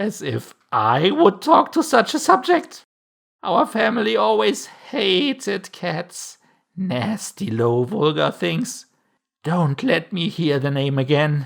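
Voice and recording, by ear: Shrill and laced with vocal fry, a put-on character voice moves slowly through big pitch swings.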